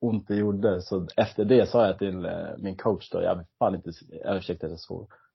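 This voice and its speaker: Somewhat breathy and fairly low, a man's voice moves at a moderate pace with monotone, flat intonation. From Sweden, Stockholm area. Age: 30s. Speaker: retired competitive swimmer. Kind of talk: interview. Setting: at home in kitchen, remote call.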